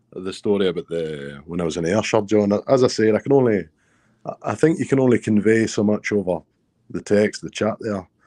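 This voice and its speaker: With a southwestern Scottish accent, a man speaks at a fairly quick pace in a fairly low pitch, his dark, mellow tone showing ordinary pitch variation in a dry, close sound with no echo. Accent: Scottish, southwest, toned down. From southwest Scotland. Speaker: guest storyteller. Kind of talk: casual chat. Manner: halting.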